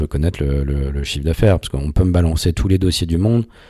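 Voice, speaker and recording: Noticeable background noise sits behind a man's very deep, low voice. His pitch varies in an ordinary way. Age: 40s. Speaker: executive of a legal rankings company. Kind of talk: interview. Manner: halting, many fillers.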